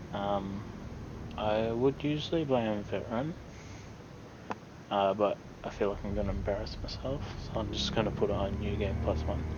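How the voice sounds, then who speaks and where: A soft-spoken man with a fairly low pitch speaks with long, frequent pauses, and room echo is audible. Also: lively intonation, moderate pace. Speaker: gaming YouTuber. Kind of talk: gameplay tutorial commentary. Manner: hesitant, many fillers. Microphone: low quality mic, quiet recording.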